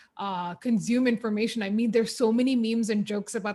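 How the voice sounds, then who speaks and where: A woman with a Keralan accent talks at a fairly quick pace in a fairly high pitch, sounding somewhat breathy. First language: Malayalam. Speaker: podcaster and former radio presenter. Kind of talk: interview conversation. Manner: casual, filler-heavy.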